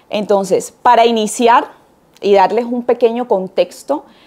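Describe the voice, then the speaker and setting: Ordinary pitch variation in a Colombian Caribbean accent. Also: woman. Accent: Colombian Caribbean coastal Spanish. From Colombian Caribbean coast, Barranquilla. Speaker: university lecturer in international law. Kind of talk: lecture.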